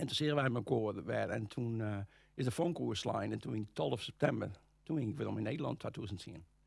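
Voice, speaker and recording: Speaking at a fairly quick pace, a man with a fairly low pitch and vocal fry makes very wide pitch swings. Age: 60s. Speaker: golf instructor. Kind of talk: interview. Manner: halting, many hesitations.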